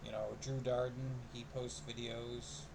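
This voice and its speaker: The room echo is audible and the background noise noticeable. Through it, a man talks fairly slowly. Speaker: vlogger. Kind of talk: casual vlog monologue. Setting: recording on PC camera at home. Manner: fluent, fills empty air easily.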